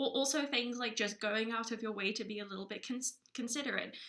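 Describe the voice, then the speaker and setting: A woman talks at a fairly quick pace in a normal speaking voice. Her pitch is fairly high. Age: 20s. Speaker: podcast co-host. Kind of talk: casual chat.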